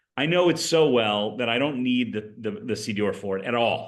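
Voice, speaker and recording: Ordinary pitch variation marks a man's medium-pitched voice, an ordinary speaking voice. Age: 60s. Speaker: rabbi. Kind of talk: lecture. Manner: conversational.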